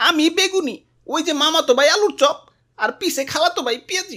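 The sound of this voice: High-pitched and cartoonish, this is a character voice. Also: moderate pace.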